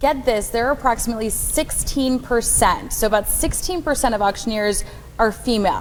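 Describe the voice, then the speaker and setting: At a fairly quick pace and with very even loudness, a woman with an ordinary speaking voice talks at a fairly high pitch with ordinary pitch variation. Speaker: TV reporter. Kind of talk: TV news interview.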